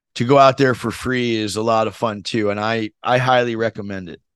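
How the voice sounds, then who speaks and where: A man's plain, everyday voice with an American accent, medium pitch, fairly even intonation and a moderate pace against a quiet background. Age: 50s. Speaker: tennis podcast host. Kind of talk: casual interview storytelling.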